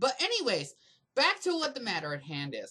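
Bright, sharp tone in a man's raised, projected voice. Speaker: video blogger, massage therapist. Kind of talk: drunken rant vlog. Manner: animated.

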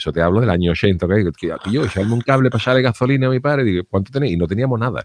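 With lively intonation and very even loudness, a man talks very fast with hardly any pauses, in a dry recording with no echo and light background noise. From Cádiz, Andalusia, Spain; Andalusia, Spain. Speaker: comedian and livestream host; comedian, livestream host. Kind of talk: casual chat. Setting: livestream from home. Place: home room. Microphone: studio mic.

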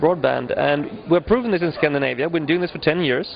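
Noticeable background noise accompanies a man speaking at a fairly quick pace with ordinary pitch variation, the sound dry with no echo. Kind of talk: interview answer. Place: hall. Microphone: handheld.

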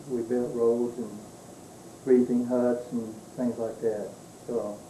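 A man speaks at a very slow pace in a monotone, flat delivery. Light background noise and audible room echo come through. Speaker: war veteran. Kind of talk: interview answer, recalling wartime service. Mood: calm, reminiscing. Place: home room. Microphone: old recording.

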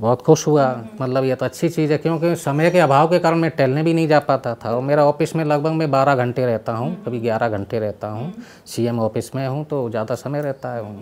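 The speaker is a man with a fairly high pitch. He varies it in an ordinary way and keeps a moderate pace. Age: 50s. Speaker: government office worker, patient. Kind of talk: interview, personal testimony. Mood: calm, earnest.

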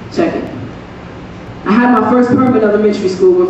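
Strong room echo and light background noise surround a woman who talks at a very fast pace. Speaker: spoken word poet. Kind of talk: spoken word poetry performance. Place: stage.

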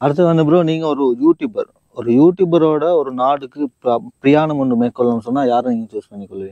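A normal speaking voice with ordinary pitch variation and big swings in loudness. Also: man, fairly high pitch for a man. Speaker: YouTube interviewer. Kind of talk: interview.

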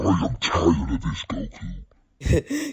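A man's put-on character voice, gravelly and raspy, very deep in pitch, at a very slow pace. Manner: irritated.

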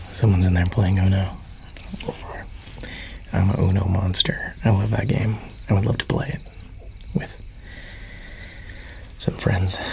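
Light background noise behind a man's voice. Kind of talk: ASMR roleplay. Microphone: studio mic.

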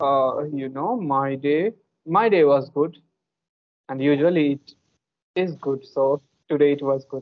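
A man with a fairly high voice speaks with long, frequent pauses. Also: ordinary pitch variation, fairly slow pace. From India. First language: an Indian language. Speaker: English learner and youtuber; youtuber. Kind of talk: casual chat. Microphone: video call.

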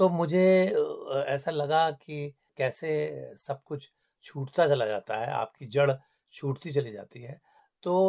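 A fairly high-pitched man's voice with ordinary pitch variation, long and frequent pauses, big swings in loudness, and a dry, close sound with no echo. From Kumaon, Uttarakhand, India. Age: 60s. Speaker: filmmaker and former broadcaster. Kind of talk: radio interview. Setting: radio studio.

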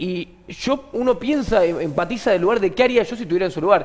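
With a Rioplatense accent, a man talks at a very fast pace with lively intonation. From Argentina. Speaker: comedian and podcast host; comedian, podcast host. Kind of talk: casual chat. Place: studio.

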